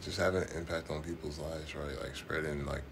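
Noticeable background noise surrounds a man's very deep, low voice. He sounds somewhat breathy, with monotone, flat intonation. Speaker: client under hypnosis. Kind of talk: guided hypnosis, describing visions. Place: home room.

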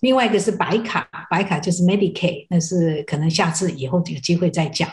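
At a fairly quick pace, a somewhat breathy woman speaks at a fairly low pitch with ordinary pitch variation. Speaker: Medicare benefits counselor. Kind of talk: TV talk show interview. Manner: halting.

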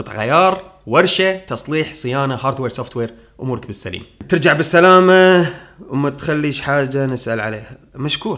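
There is a quiet background as a man speaks with lively intonation and a fairly high pitch. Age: 30s. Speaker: tech YouTuber. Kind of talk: Q&A answering viewer questions. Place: home room.

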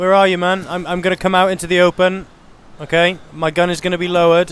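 A very fast man's voice with a British accent, a high pitch and monotone, flat intonation, in a dry sound with no echo. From United Kingdom. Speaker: gaming video creator. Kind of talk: gameplay narration with roleplay. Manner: casual.

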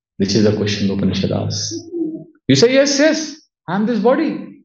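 The background is quiet. A man's voice comes with audible room echo. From India, Udupi (Karnataka); Karnataka, India. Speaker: monk and spiritual teacher; monk lecturer. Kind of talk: lecture. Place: home room.

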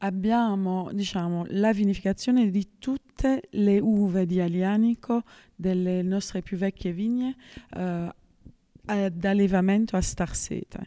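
A woman's dark, mellow voice with fairly even intonation at a fairly slow pace, against a quiet background. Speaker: winemaker. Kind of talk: interview answer. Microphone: handheld.

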